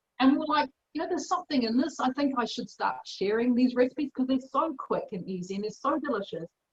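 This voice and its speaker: A woman with a New Zealand accent talks at a very fast pace with hardly any pauses, her high-pitched voice full of lively intonation and recorded with a dry, close sound and no echo. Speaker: chef and cookbook author. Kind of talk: interview answer. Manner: casual, conversational.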